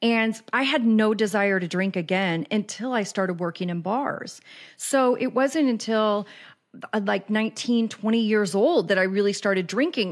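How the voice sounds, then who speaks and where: At a moderate pace, a woman with an American accent and a plain, everyday voice speaks at a fairly high pitch. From Kansas City, US Midwest. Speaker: addiction recovery podcaster and life coach. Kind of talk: casual interview conversation.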